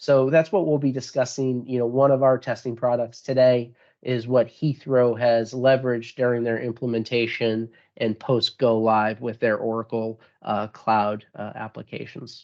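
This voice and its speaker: A man at medium pitch with fairly even intonation and a moderate pace. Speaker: sales manager. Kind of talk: webinar presentation. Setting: online webinar. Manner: many fillers and repetitions.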